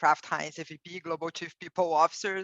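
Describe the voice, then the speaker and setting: In a non-native accent, a woman speaks at a moderate pace with a fairly low pitch and ordinary pitch variation, her sound dry and close with no echo against a quiet background. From Brazil. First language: Portuguese. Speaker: HR executive. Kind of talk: interview.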